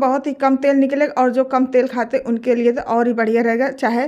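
A woman speaks at a moderate pace with a high pitch. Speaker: home tips creator. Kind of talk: tutorial.

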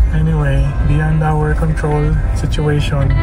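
Music plays in the background as a man speaks. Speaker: car camping vlogger. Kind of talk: casual vlog chat. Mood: mildly disappointed, calm. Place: car. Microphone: phone near.

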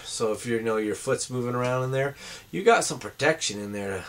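Intonation holds fairly even throughout. The speaker, a man, keeps a moderate pace. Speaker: product reviewer. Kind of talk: casual product review. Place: home room. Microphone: webcam.

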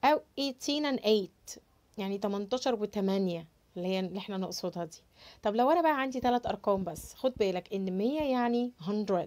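A woman speaks in an animated tone with an Egyptian accent and lively intonation. Her pitch is medium and her pace moderate. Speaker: English teacher. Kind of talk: tutorial. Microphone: lapel.

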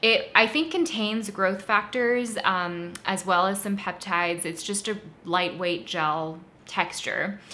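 A woman's normal speaking voice, medium in pitch with ordinary pitch variation, at a fairly slow pace. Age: 30s. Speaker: beauty YouTuber. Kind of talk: product review monologue. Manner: conversational.

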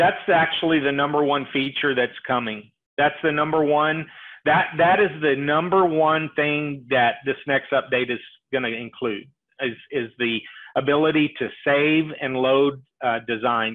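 With fairly even intonation, a man talks at a fairly high pitch. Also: fairly slow pace.

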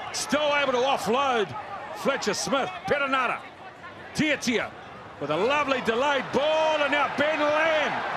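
An extremely high-pitched man in a raised, projected voice, fairly slow, with ordinary pitch variation and very even loudness over noticeable background noise. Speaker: rugby commentator. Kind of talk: live rugby match commentary. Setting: match broadcast.

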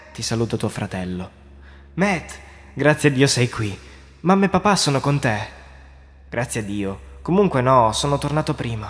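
A man's somewhat breathy, dramatic voice at medium pitch and moderate pace, with very wide pitch swings and long, frequent pauses. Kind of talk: scripted creepypasta narration in second person, told as a ghost story. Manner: hushed, suspenseful, dramatic and tense, building dread.

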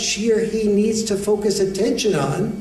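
With an American accent, a man speaks at a fairly slow pace in a high pitch, and the room echo is audible. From United States. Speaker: educator, author and men's issues speaker. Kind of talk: lecture to an audience. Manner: soft-spoken. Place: hall. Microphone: podium.

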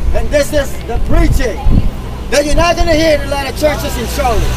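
A man speaks over loud background noise. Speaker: street preacher. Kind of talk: loud street preaching. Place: street.

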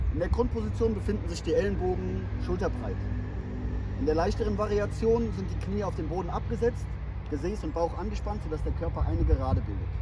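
A man talks at a fairly quick pace. The sound is dry with no echo, and music plays in the background. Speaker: fitness trainer. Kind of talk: tutorial. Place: stadium.

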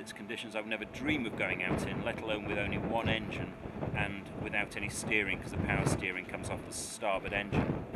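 A man is speaking. Loud background noise sits behind his voice. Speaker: presenter. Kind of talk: travel vlog to camera. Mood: anxious, apprehensive. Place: waterside. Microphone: phone near.

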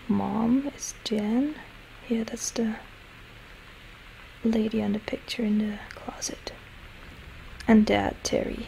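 Soft-spoken whispering at a very slow pace. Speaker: ASMR let's play gamer. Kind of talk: ASMR game playthrough commentary. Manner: whispered, soft-spoken.

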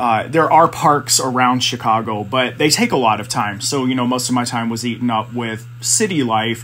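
Over noticeable background noise, a man with an American accent talks at a moderate pace with hardly any pauses. His medium-pitched voice has fairly even intonation. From US South, South Carolina. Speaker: assistant principal and photographer. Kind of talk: casual chat.

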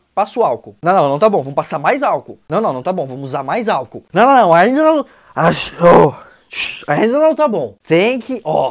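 Against a quiet background, a high-pitched man talks at a moderate pace with very wide pitch swings. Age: 20s. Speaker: comedian. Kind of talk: comedic rant. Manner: animated. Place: home room. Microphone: lapel.

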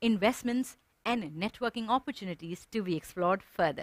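Very wide pitch swings mark this voice at a moderate pace. The background is quiet. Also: woman, dry sound with no echo. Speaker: event host. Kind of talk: ceremony hosting. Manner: formal. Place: studio.

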